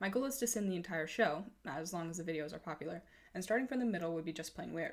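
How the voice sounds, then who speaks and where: A woman's shaky voice at a fairly low pitch, very fast in pace, with lively intonation. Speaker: fan video commentator. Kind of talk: comedic commentary narration. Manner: shaky, a little hard to understand.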